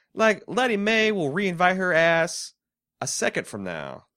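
The man's tone is bright and sharp, and he has an American accent. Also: very clean recording, silent background. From Indiana, US. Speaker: podcast co-host. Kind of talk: casual chat.

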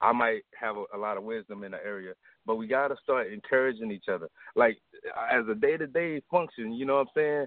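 A normal speaking voice, a man with an American accent talks at a fairly quick pace and medium pitch, with lively intonation and big swings in loudness. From US South. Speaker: caller. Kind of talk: call-in comment. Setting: phone call.

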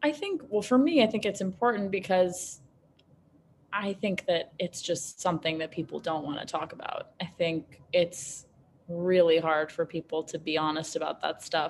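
A woman with fairly low pitch and a plain, everyday voice, in an American accent, at a moderate pace with ordinary pitch variation. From US Northeast, Manhattan, New York City. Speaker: beverage company founder. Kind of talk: interview conversation.

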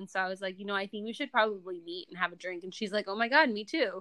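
With an American accent, a woman speaks at a medium pitch in a bright, sharp tone. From US Midwest, Indiana. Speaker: entrepreneur, marketing agency founder. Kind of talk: casual interview.

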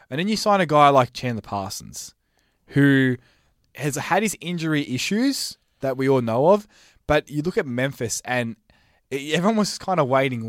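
With an Australian accent, a man speaks at a moderate pace and fairly high pitch with lively intonation, in a dry, close sound with no echo on a very clean recording with a silent background. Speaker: basketball pundit. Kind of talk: casual chat.

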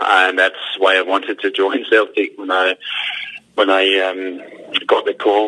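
Over noticeable background noise, a man speaks at a fairly slow pace in a Scottish accent. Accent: Scottish accent despite being Danish. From Denmark. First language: Danish. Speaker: retired footballer, football manager. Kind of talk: phone interview. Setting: phone call. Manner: halting, many fillers and repetitions.

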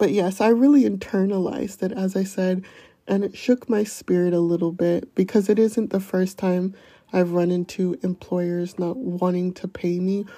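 A soft-spoken woman with an American accent talks at a moderate pace and medium pitch in a dark, mellow tone with fairly even intonation. The recording is very clean, with a silent background. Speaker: podcaster. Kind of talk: personal confession monologue. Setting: outdoors.

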